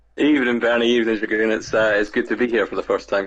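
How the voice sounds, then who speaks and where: A very fast male voice at medium pitch, monotone and flat, with a Scottish accent. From Scotland. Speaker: first-time guest on a show.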